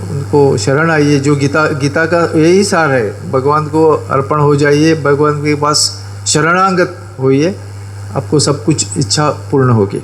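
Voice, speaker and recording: A man speaks with a fairly high pitch. Noticeable background noise can be heard. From Goa, India. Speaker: event speaker introducing chief guest. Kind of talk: ceremonial speech. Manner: halting, with filler sounds.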